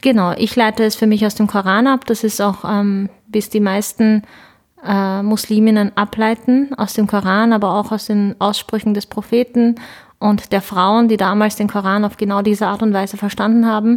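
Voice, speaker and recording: A woman speaks with a Turkish accent at a fairly high pitch. Her intonation is monotone and flat, and her loudness stays very even. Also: moderate pace. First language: Turkish (speaking German). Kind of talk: interview.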